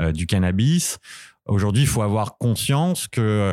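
A man speaking at a moderate pace. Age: 30s. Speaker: consultant and cannabis user. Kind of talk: interview testimony. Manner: hesitant with many fillers.

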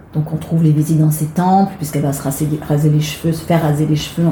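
A woman with a very deep, low pitch talks at a very fast pace amid audible room echo and noticeable background noise. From Marseille, southern France. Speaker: actress and singer. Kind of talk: interview.

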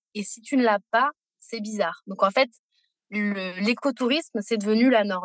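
At a moderate pace and with ordinary pitch variation, a woman speaks in a dry, close sound with no echo. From Paris, France. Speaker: sustainable tourism professional. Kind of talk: interview. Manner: hesitant.

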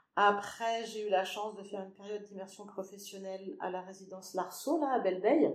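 A woman speaks at a fairly quick pace with hardly any pauses, medium pitch, ordinary pitch variation and big swings in loudness, with audible room echo around her. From western France (Angers, Anjou). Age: 50s. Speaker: social care worker, former secretary. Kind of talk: interview. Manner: hesitant.

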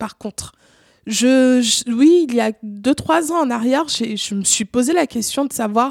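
A woman with a high pitch speaks at a fairly slow pace. The recording is very clean with a silent background and a dry, close sound with no echo. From Cameroon. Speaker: artist, photographer. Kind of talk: casual interview.

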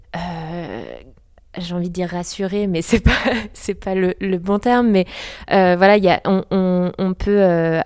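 At a very slow pace, a woman with medium pitch talks in a monotone, flat intonation. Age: young. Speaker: comic book author. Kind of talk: interview. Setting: comic festival. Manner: halting.

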